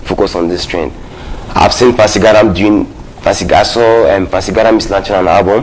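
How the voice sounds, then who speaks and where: Against noticeable background noise and audible room echo, a man with a fairly low pitch speaks at a fairly quick pace. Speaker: hip hop artist. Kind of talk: talk show interview. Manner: halting, many repetitions.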